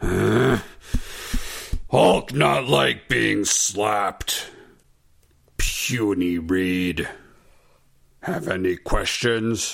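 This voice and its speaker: In a put-on character voice, a man speaks very slowly with a very deep, low pitch and long, frequent pauses. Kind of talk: broken simple speech. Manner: gruff.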